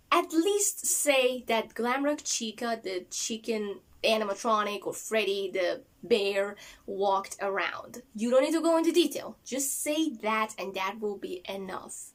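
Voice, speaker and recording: Her intonation lively, a woman speaks at a fairly slow pace with a fairly high pitch. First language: not English. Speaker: book reviewer, video creator. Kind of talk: casual video review. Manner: hesitant, with fillers and repeats.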